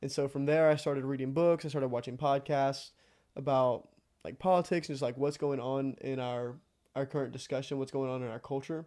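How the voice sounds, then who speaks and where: A man with a Texan accent speaks at a fairly quick pace in a fairly high pitch, with a dark, mellow tone, fairly even intonation and a quiet background. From Texas, near College Station. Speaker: seminary student. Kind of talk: casual interview.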